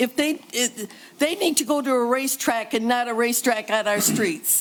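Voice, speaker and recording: A woman's lively intonation over noticeable background noise. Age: 80s+. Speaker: resident speaking at public comment. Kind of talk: public comment at council meeting. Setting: city council chambers.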